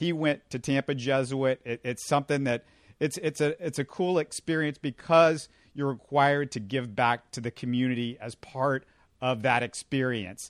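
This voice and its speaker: Against a quiet background, a normal speaking voice moves at a moderate pace with ordinary pitch variation, the sound dry and close with no echo. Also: man, medium pitch for a man. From Houston, Texas. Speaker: sports podcast host. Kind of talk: casual sports chat.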